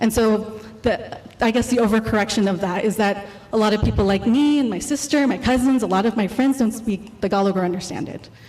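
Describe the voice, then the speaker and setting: A woman with an American accent, fairly high in pitch with ordinary pitch variation, over noticeable background noise. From California, US (Filipino parents). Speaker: artist and exhibition co-curator. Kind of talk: artist talk presentation. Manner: fast when nervous; hesitant, many fillers.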